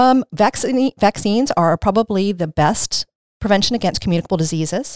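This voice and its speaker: A woman with an American accent speaks at a fairly quick pace in an unremarkable speaking voice, medium in pitch, with lively intonation and a dry, close sound with no echo. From Maryland Eastern Shore, Caroline County. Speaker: infection prevention nurse. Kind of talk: interview.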